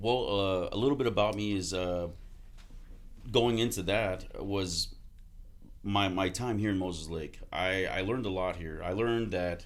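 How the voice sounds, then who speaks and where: A man with an American accent in a fairly low pitch, fairly even intonation, long, frequent pauses and audible room echo. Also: moderate pace. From Texas, Houston area. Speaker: army veteran and car salesman. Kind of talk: casual podcast interview.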